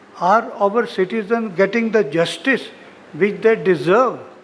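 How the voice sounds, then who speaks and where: Over noticeable background noise, a man talks fairly slowly in a high-pitched voice with ordinary pitch variation. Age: 80s+. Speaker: senior lawyer, guest of honour. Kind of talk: ceremonial speech. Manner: formal.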